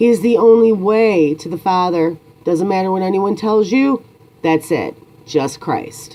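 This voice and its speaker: Over noticeable background noise, a woman with an American accent speaks fairly slowly at a medium pitch with lively intonation. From United States. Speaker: YouTuber. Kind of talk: opinion monologue.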